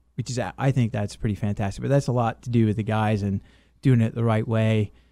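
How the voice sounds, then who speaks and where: A man speaks at a fairly quick pace and a medium pitch. His tone is dark and mellow, with fairly even intonation. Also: very clean recording, silent background. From England, moved to US South at ten. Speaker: painting contractor, military veteran. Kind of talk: radio interview.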